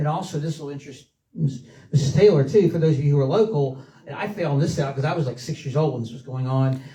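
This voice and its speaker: Speaking with a South Carolina accent, a man talks at a very fast pace. His pitch is fairly high, with ordinary pitch variation. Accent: US Southern (South Carolina). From South Carolina coast. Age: 60s. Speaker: local history speaker, son of former mayor. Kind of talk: public talk. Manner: halting, many fillers.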